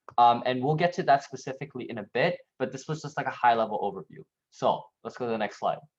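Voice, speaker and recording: A man at a medium pitch, very fast pace and ordinary pitch variation. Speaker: workshop trainer. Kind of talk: online workshop presentation.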